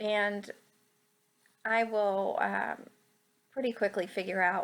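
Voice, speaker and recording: The voice carries vocal fry and fairly even intonation. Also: woman. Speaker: scrapbooking video creator. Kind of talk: voiceover narration of craft process. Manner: hesitant, many fillers.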